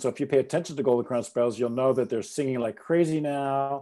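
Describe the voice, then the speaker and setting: With a Canadian accent, a man speaks at a medium pitch in a dark, mellow tone with ordinary pitch variation. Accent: Canadian, self-described. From Canada. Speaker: ornithologist, biology professor. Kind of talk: lecture. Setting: video call.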